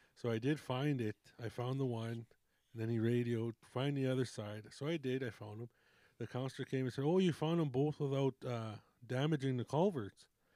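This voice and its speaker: Speaking at a fairly quick pace, a man uses ordinary pitch variation and a medium pitch in a dark, mellow tone, with a dry, close sound and no echo. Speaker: podcast co-host, road construction worker. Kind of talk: casual chat.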